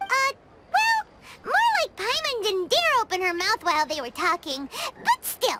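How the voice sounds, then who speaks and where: This put-on character voice sounds female, pitched extremely high for a woman and delivered at a moderate pace. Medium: video game. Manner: refers to self in third person.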